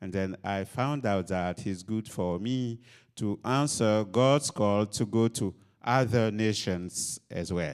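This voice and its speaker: A man talks at a very slow pace with a fairly low pitch and ordinary pitch variation. The recording is very clean, with a silent background. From Ivory Coast. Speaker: missionary pastor. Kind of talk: interview in front of audience. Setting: stage with audience.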